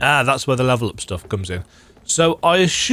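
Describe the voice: Text read aloud, plainly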